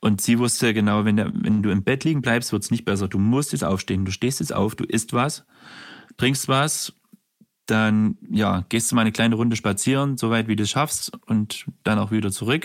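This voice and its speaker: This is an unremarkable speaking voice at a moderate pace. Pitch varies in an ordinary way, and loudness stays very even. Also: man, medium pitch for a man. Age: 30s. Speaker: care worker. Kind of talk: testimony.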